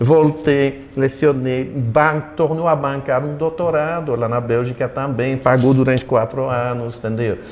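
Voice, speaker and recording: Despite noticeable background noise, the speaker keeps a fairly slow pace and fairly even intonation with hardly any pauses. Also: man, medium pitch for a man. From Belgium. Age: 70s. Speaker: retired professor. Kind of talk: interview. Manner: halting, many repetitions.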